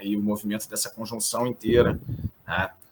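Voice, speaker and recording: Fairly low male voice, intonation fairly even. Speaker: astrologer. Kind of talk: interview.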